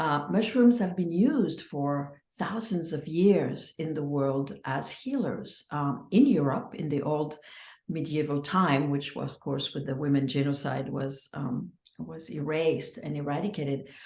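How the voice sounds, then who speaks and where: Speaking at a fairly slow pace, a woman uses a very deep, low pitch. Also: ordinary pitch variation. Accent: French. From France. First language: French. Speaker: psychedelic healing practitioner. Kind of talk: interview. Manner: halting.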